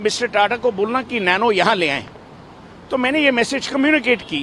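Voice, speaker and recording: A man talks with ordinary pitch variation. There is noticeable background noise. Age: 60s. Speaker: friend of a late businessman, interviewee. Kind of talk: media interview. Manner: halting, with frequent fillers.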